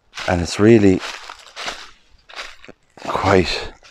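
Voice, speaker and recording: The man's voice is very deep and low, moving at a very slow pace. The sound is dry with no echo, with light background noise. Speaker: explorer vlogger. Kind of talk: casual vlog commentary. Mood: calm, admiring. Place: open country. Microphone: phone near.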